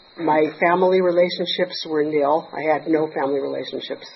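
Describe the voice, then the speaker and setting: A woman's fairly low voice at a moderate pace with fairly even intonation and noticeable background noise. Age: 60s. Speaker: 12-step meeting speaker. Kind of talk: testimony. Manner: halting.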